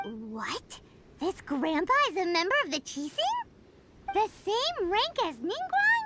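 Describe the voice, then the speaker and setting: Very wide pitch swings mark this put-on character voice, pitched extremely high. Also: fairly slow pace. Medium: video game. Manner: energetic, chirpy.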